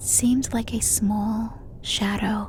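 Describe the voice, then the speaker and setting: Noticeable background noise runs beneath speech delivered at a very slow pace. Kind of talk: ASMR horror story narration. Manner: soft, hushed, slow.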